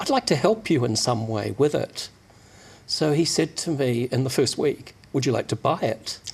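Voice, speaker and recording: The voice is somewhat breathy and has lively intonation. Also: man, medium pitch for a man, moderate pace. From New Zealand. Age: 60s. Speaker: magazine publisher. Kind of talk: interview.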